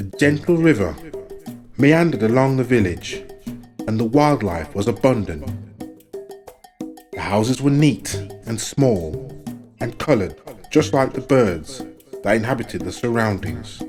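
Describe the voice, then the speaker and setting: Over music in the background, a man speaks at a medium pitch with very wide pitch swings. His pace is fairly slow, broken by long, frequent pauses. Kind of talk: folk tale reading.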